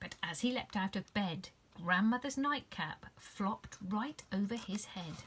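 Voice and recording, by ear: The speaker reads the text aloud in a natural voice.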